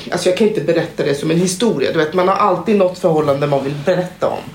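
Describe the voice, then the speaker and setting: A woman's fairly even intonation amid noticeable background noise and audible room echo. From Guinea. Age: 30s. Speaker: assistant nurse. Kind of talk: casual chat.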